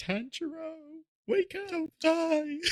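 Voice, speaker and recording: A man performs a put-on character voice pitched extremely high. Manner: squawky, urgent.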